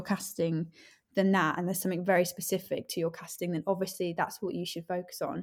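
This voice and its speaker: With an East Midlands accent, a woman speaks very fast at a medium pitch on a very clean recording with a silent background. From English East Midlands (Leicestershire/Northamptonshire). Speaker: actress. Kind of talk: casual interview chat.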